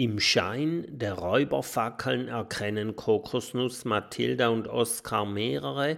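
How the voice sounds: Lively intonation from a voice reading naturally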